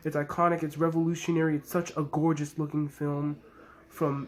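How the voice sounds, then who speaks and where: Quietly and at a moderate pace, a man speaks in a fairly high voice with flat, monotone intonation. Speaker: movie reviewer. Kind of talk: video review outro. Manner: quiet, low energy.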